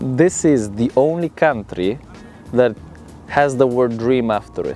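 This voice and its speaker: A man with an Italian accent, medium pitch and ordinary pitch variation, over music in the background. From Italy. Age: 20s. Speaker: model and social media creator. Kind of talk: interview answer. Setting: outdoors.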